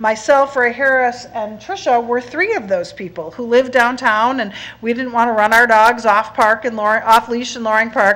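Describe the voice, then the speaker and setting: Moderately paced speech from a woman at a fairly high pitch, with ordinary pitch variation, hardly any pauses and noticeable background noise. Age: old. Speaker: nonprofit co-founder giving public comment. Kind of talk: public comment at board meeting. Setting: public board meeting.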